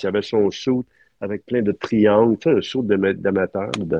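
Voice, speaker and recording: A man with a Quebec accent, fairly low in pitch, at a fairly slow pace with ordinary pitch variation. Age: 60s. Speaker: film art director. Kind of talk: interview. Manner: halting.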